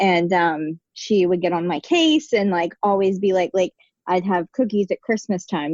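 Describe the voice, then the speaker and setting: A woman speaks at a moderate pace with an American accent, medium pitch, ordinary pitch variation and an ordinary speaking voice. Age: 20s. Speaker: teacher of the deaf. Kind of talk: casual interview.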